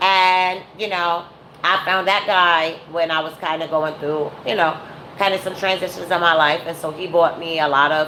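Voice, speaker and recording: Against noticeable background noise, a woman with a fairly low pitch speaks at a fairly slow pace in a monotone, flat intonation. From New York, Brooklyn. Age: 40s. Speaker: YouTuber / live streamer. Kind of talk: casual live-stream commentary. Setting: at home, live stream.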